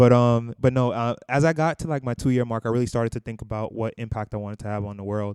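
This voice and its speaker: On a very clean recording with a silent background and a dry, close sound with no echo, a man with an American accent talks very fast at a medium pitch with fairly even intonation. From US Northeast (Brooklyn, New York). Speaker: podcast co-host, finance educator. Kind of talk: casual chat. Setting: recording while traveling in Mexico.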